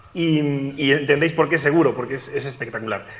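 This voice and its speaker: Noticeable background noise surrounds a man speaking at a fairly high pitch with a Galician accent. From Galicia, Spain. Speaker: physicist and climate scientist. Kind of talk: remote talk at education event. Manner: hesitant, many fillers.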